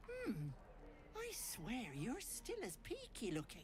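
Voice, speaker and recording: A put-on character voice moves at a fairly slow pace over loud background noise. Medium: video game. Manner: cloying, chatty.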